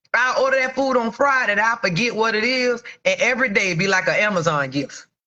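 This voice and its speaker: Here a woman uses a normal speaking voice at a fairly high pitch. She speaks at a fairly quick pace. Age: 40s. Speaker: entrepreneur. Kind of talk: casual livestream talk to viewers. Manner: casual, frank.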